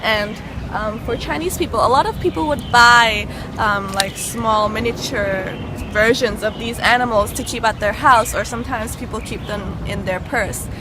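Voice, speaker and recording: Spoken at a moderate pace with ordinary pitch variation, the voice carries audible room echo while music plays in the background. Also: woman, fairly high pitch for a woman. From Canada, Toronto. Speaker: travel show host. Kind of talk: guided tour. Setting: outdoors in a park. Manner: quiet, hushed in monument; hesitant, many fillers.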